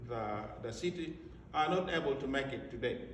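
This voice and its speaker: Noticeable background noise and audible room echo surround a man speaking at a fairly slow pace with an American accent. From Africa. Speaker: school director. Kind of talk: graduation speech. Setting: ceremony with audience. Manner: formal.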